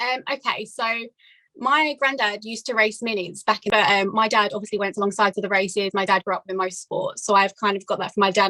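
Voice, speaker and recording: A woman with an Essex accent speaks at a fairly quick pace, her medium-pitched voice bright and sharp in tone. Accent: southern English, Essex. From England, Essex. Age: 20s. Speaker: amateur racing competitor. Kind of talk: casual interview chat. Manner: hesitant, many fillers.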